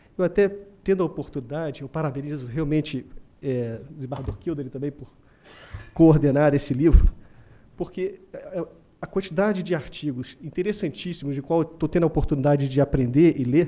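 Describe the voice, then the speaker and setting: Dark and mellow in tone, a man speaks at a fairly high pitch. His pace is fairly quick, with ordinary pitch variation. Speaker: legal speaker at book launch. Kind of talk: formal lecture. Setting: auditorium with audience. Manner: quiet, self-corrected; hesitant, many fillers.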